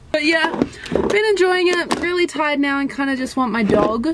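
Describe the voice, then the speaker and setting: A woman talks at a moderate pace. Loud background noise runs behind her. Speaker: vlogger. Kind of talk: casual vlog chat. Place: car. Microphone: phone near.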